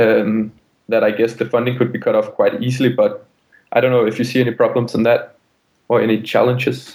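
A man talking at a fairly quick pace, with very even loudness. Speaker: caller.

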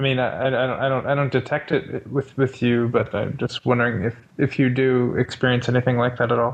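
Monotone, flat intonation marks this man's medium-pitched speech, delivered at a fairly quick pace with hardly any pauses. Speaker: caller. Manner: hesitant, halting.

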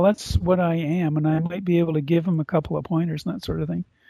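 His voice sits high for a man. The pitch moves in an ordinary way. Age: 60s. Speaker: caller. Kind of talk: casual chat. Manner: halting.

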